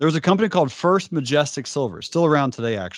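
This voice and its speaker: An energetic man at a very fast pace. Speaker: trading educator and business founder. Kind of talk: interview.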